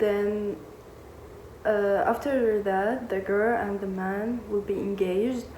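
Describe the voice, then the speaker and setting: Over noticeable background noise, a woman speaks with a Syrian accent. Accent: non-native, Syrian Arabic. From Syria, Damascus. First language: Arabic. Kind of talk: personal storytime to camera.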